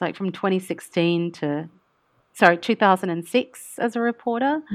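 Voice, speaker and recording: Against a quiet background, a woman with an Australian accent talks at a moderate pace and a fairly low pitch. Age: 40s. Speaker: international news correspondent. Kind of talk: casual interview.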